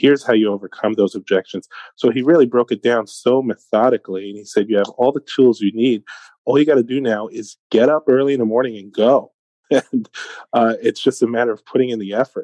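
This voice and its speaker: A speaker with a New York accent talks at a fairly quick pace with fairly even intonation. The tone is dark and mellow, the sound dry and close with no echo. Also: man, medium pitch for a man. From Brooklyn, New York. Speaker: sales and business leader. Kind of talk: interview.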